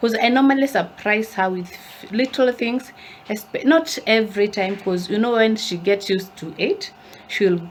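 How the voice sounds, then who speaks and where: In an African accent, a woman speaks at a medium pitch and fairly slow pace with an animated tone and ordinary pitch variation, with noticeable background noise. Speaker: lifestyle vlogger. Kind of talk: casual vlog talk to camera. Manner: animated, chatty.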